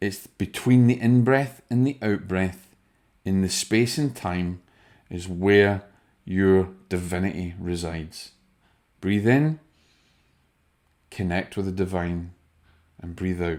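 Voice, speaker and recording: In a very deep, low voice with a Scottish accent, a man speaks at a very slow pace with long, frequent pauses and ordinary pitch variation, on a very clean recording with a silent background. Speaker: spiritual medium. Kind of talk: video talk to viewers.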